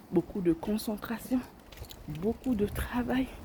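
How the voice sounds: A fairly slow pace from a woman with a dark, mellow tone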